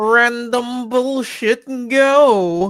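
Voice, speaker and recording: A fairly high pitch carries the speaker's put-on character voice. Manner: shouting.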